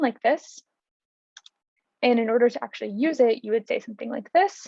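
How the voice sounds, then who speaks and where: Speech comes fairly quickly, and its pitch shifts in a typical way. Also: woman. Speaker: instructor. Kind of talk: tutorial.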